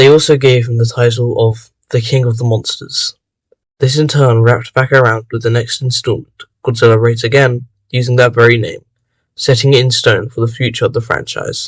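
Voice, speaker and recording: A man's medium-pitched, somewhat breathy voice with monotone, flat intonation. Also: moderate pace. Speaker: video essayist. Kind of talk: casual talk to camera.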